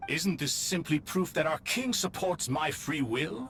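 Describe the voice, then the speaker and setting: Over clear background noise, a man puts on a character voice with a fairly high pitch at a moderate pace. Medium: video game.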